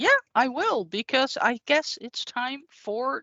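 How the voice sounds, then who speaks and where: A woman with a Dutch accent at a very slow pace, with a high pitch and lively intonation. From Netherlands. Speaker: IT consultant. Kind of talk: tech demo presentation.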